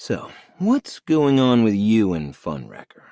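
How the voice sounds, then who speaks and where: Putting on a character voice, a man talks at a fairly slow pace from a medium pitch with very wide pitch swings. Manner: overly soothing, gentle.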